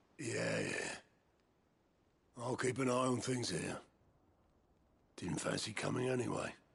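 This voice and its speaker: In a put-on character voice, a raspy man of medium pitch speaks at a moderate pace with very even loudness and long, frequent pauses. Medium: video game. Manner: blunt, folksy.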